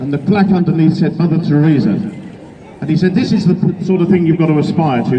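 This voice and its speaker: A man's high voice at a fairly quick pace, ordinary pitch variation, audible room echo and noticeable background noise. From Wales. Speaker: event compere at political rally. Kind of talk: speech to rally audience with joke.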